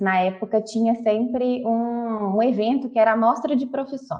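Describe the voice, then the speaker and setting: Her pitch is fairly high for a woman. She keeps a moderate pace. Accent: Minas Gerais. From Brazil, Minas Gerais (Belo Horizonte). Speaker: university professor. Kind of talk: interview.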